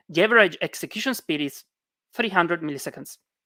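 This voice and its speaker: With a non-native accent, a woman talks in a bright, sharp tone at a fairly low pitch with lively intonation, captured in a very clean, dry, close recording with a silent background and no echo. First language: not English. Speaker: conference speaker. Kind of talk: technical talk. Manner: hesitant, many fillers.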